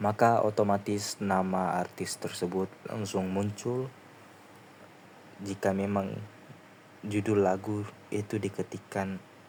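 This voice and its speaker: Soft-spoken and monotone, with flat intonation, the voice moves at a very slow pace with long, frequent pauses. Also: man. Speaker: student. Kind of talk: tutorial. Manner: halting. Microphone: quiet recording.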